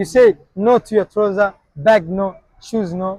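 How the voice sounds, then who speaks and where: In a Somali accent, a man speaks at a high pitch in an animated tone with ordinary pitch variation, in a dry, close sound with no echo. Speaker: street challenge vlogger. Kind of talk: street prank challenge vlog.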